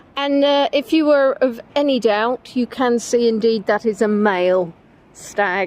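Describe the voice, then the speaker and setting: With an English accent, a woman speaks at a fairly high pitch, using ordinary pitch variation. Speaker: livestreamer on walks. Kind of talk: casual live-stream chat. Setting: outdoors by a river. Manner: chatty, conversational.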